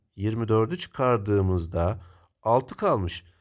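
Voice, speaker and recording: Very clean recording, silent background, and a man's fairly low voice with ordinary pitch variation. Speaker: math teacher. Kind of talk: tutorial.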